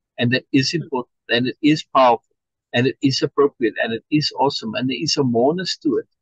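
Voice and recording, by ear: With a quiet background, the passage is read aloud in a natural voice.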